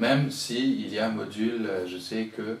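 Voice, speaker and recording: A man talks with a Mauritian accent. Noticeable background noise and audible room echo surround his voice. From Mauritius. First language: Mauritian Creole (speaking French). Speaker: writer and poet. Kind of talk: interview. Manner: halting, with many repetitions.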